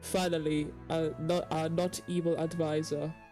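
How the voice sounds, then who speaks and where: The delivery is very slow. Music can be heard behind it. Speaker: let's player. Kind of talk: reading game dialogue aloud with commentary.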